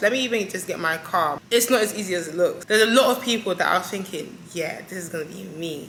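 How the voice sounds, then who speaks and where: A woman talks at a fairly quick pace in an animated tone. Room echo is audible, and there is noticeable background noise. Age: 20s. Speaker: vlogger and lash technician. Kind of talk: casual sit-down chat to camera. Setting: solo to camera.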